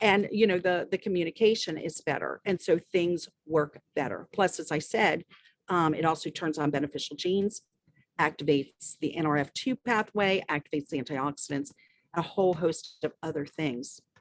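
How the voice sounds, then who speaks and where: In a normal speaking voice with a fairly low pitch and ordinary pitch variation, a woman speaks at a moderate pace, the sound dry and close with no echo. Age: 60s. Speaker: medical doctor. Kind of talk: interview answering questions.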